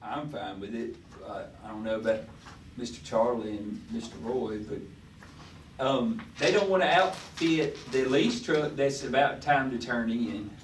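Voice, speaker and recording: A man at a medium pitch with a Southern US accent, lively intonation and a fairly slow pace, big swings in loudness, audible room echo and noticeable background noise. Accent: US South. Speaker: city official presenting budget. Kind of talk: budget workshop meeting discussion. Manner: halting, many fillers; speaking loudly.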